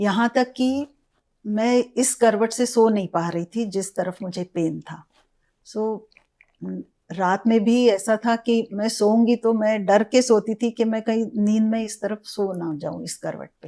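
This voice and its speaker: A woman's fairly high-pitched voice, a plain, everyday voice. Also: ordinary pitch variation. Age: 60s. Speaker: gynecologist. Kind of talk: interview answer.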